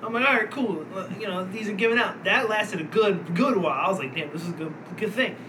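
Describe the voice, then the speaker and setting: Talking very fast in a raised, projected, high voice with ordinary pitch variation, a man is heard over noticeable background noise. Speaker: podcast host. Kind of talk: casual banter podcast chat. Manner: profane, rambling, halting.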